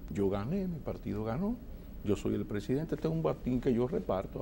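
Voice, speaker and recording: A man's dark, mellow voice at a moderate pace. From Dominican Republic. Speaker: TV interview host. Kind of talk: political TV interview. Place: studio. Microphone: lapel.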